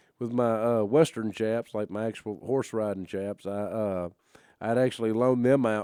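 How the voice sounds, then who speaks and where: On a very clean recording with a silent background, a man with an American accent talks at a moderate pace, his fairly low voice dark and mellow in tone with ordinary pitch variation. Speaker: professional wrestler. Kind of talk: podcast host talk. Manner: casual, conversational.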